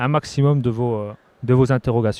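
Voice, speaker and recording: A man talks at a moderate pace with fairly even intonation in a plain, everyday voice. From Bourgogne-Franche-Comté, France. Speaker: short-term rental trainer, content creator. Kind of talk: panel discussion. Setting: stage with audience at trade show.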